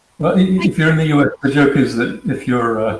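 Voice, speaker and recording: With an American accent and lively intonation, a man talks at a fairly quick pace over noticeable background noise. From Queensland, Australia. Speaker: cybersecurity consultant. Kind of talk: interview. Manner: hesitant, many fillers.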